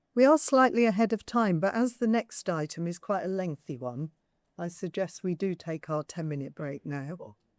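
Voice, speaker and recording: In a dry, close recording with no echo, a woman's pitch swings very widely. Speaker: board meeting chair. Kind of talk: formal board meeting. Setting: meeting room with public gallery and remote attendees. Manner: loud, projecting.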